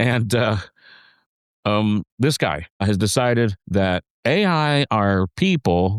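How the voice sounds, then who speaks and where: In a very clean recording with a silent background, a man speaks at a fairly low pitch and very slow pace, with lively intonation, very even loudness and a dry, close sound with no echo. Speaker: podcast co-host and songwriter. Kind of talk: casual conversation. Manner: halting, many restarts and fillers.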